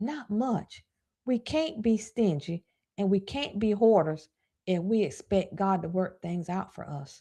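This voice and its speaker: With a Southern US accent, a woman speaks at medium pitch and a fairly slow pace. Her somewhat breathy voice has a dark, mellow tone and lively intonation. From US South. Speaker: personal finance coach. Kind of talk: live stream talk. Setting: live stream.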